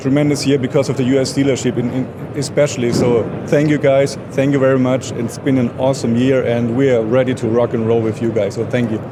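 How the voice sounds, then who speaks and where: Over noticeable background noise, a man with a strong German accent speaks at a fairly quick pace in a medium pitch with monotone, flat intonation. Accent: heavy German. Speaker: product manager for equipment maker. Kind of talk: trade show interview. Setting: trade show booth.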